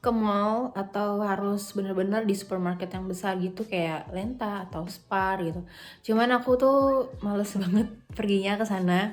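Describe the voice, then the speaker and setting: Music plays in the background as the speaker goes at a fairly slow pace with fairly even intonation. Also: woman. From Jakarta, Indonesia. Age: 20s. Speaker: university student abroad. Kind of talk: casual vlog talk to camera.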